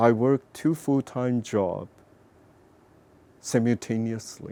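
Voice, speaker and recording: A man talks with a Chinese accent in a dry, close sound with no echo. His tone is dark and mellow, at a medium pitch. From northwestern China. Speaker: painter. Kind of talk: personal interview storytelling. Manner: halting.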